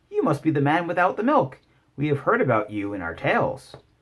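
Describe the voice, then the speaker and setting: Using a put-on character voice, a man speaks at a fairly quick pace with a fairly high pitch. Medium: read story. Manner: sighing, blasé.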